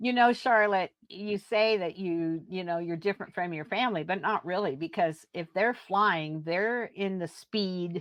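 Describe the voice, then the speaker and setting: A woman's normal speaking voice at a medium pitch and fairly slow pace, with ordinary pitch variation and hardly any pauses. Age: 60s. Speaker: podcast host. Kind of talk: podcast interview.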